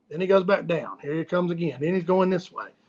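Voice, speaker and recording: With a Southern US accent, a man speaks at a fairly quick pace and a high pitch, his tone animated and his pitch variation ordinary, in a dry, close sound with no echo. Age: 50s. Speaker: fishing guide and livestream host. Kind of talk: casual livestream chat.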